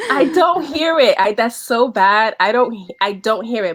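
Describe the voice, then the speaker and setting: A woman's fairly high voice with a slight New York accent and lively intonation. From New York City, the Bronx. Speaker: wardrobe stylist. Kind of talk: casual chat. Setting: video call.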